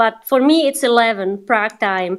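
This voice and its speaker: A woman with a non-native accent speaks with lively intonation. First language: not English. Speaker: TikTok coach. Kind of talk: live online group session.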